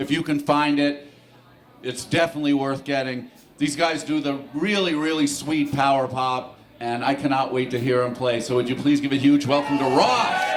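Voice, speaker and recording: Over noticeable background noise and audible room echo, a man speaks fairly slowly in a fairly high voice. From Los Angeles, US. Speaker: festival organizer and emcee. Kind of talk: stage introduction. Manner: enthusiastic.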